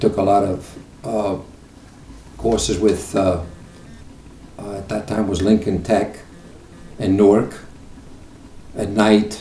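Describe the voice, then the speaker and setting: A man with a fairly low pitch speaks at a very slow pace in monotone, flat intonation, with long, frequent pauses and big swings in loudness. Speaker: retired auto mechanic. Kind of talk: interview answer. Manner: hesitant, with fillers.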